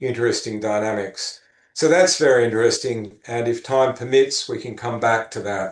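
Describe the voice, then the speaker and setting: A man speaks at a moderate pace and medium pitch, with fairly even intonation, in a plain, everyday voice. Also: quiet background. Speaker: neuroscience professor giving a research talk. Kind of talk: academic lecture. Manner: frequent filler words.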